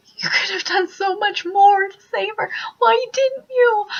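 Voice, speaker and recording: An extremely high-pitched, put-on character voice. It moves at a fairly slow pace. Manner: accusing, tearful.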